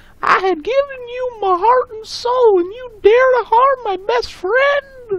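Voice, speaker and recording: A woman does a put-on character voice at an extremely high pitch, speaking at a fairly slow pace. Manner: melodramatic, aggrieved.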